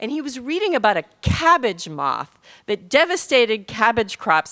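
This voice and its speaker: A woman with a bright, sharp tone and vocal fry speaks at a moderate pace over a quiet background. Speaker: physician and author speaking at conference; conference keynote speaker. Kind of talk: conference keynote talk. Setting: stage with audience. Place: hall. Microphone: podium.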